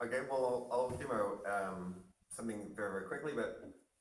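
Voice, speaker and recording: Speaking at a moderate pace, a man with a fairly low voice is heard with audible room echo. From Australia. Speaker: crypto YouTuber. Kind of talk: casual talk and demo.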